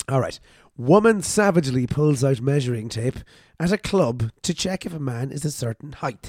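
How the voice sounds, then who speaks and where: In an Irish accent, a man speaks with fairly high pitch and lively intonation at a moderate pace. The sound is dry and close, with no echo. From Ireland. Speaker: podcast host. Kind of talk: casual chat. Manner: jokey, laughs often.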